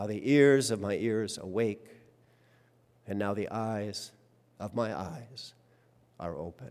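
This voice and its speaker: A man with a warm tone and a fairly low pitch speaks at a very slow pace. His pitch varies in an ordinary way, with long, frequent pauses. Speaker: worship leader. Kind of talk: sermon; poetic reading aloud of a hymn text, devotional. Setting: church. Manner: measured, reverent, lyrical pacing; humorous, conversational, warm.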